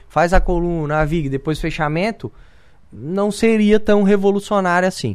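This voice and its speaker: A man's high-pitched voice is captured on a very clean recording with a silent background. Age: 30s. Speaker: businessman. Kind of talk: radio interview. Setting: studio.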